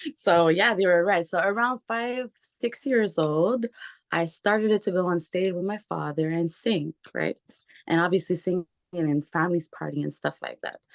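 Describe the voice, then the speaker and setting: Dry and close with no echo, a woman speaks at a fairly low pitch. Her pace is moderate, with ordinary pitch variation. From Montreal, Quebec, Canada. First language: Portuguese and French. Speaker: singer. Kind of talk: interview.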